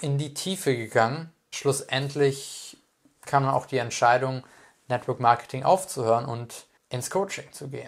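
With a normal speaking voice, a man talks at a fairly slow pace, fairly high in pitch and with ordinary pitch variation. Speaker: life coach and speaker. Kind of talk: personal monologue.

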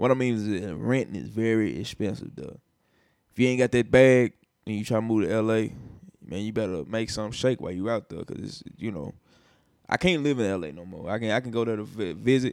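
A man with a Nashville accent, fairly low in pitch, at a fairly quick pace, with ordinary pitch variation and big swings in loudness. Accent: Southern US, Nashville. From US South, Nashville, Tennessee. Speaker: rapper and music producer. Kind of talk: casual chat.

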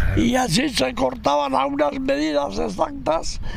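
Background music plays under fairly slowly paced speech, with audible room echo. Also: man. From Navarre, Spain (Burgui, Roncal valley). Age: 80s+. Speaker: retired log raftsman. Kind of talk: oral history testimony. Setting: outdoors by the river.

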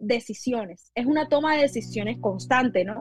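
The speaker is a woman. Her voice comes through dry and close-up, free of any echo. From Colombian Caribbean coast, La Guajira. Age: 20s. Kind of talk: sermon. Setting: video podcast.

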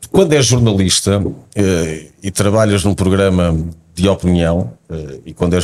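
A man speaks in a very deep, low pitch. The recording is very clean with a silent background. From Portugal, south bank of the Tagus (Montijo). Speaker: football pundit and author. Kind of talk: casual chat.

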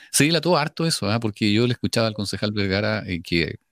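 The speech comes very fast, with very wide pitch swings. The recording is very clean with a silent background, and the sound is dry and close with no echo. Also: man. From Chile, Biobío region. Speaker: radio host. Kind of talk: radio interview. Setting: virtual radio studio.

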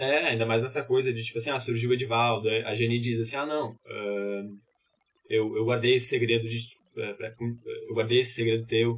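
With long, frequent pauses, a man speaks in a monotone, flat way, sounding somewhat breathy. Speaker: actor. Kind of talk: casual chat.

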